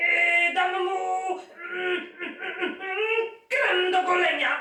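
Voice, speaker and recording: This is a put-on character voice. It sits at an extremely high pitch with a slight echo. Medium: read story.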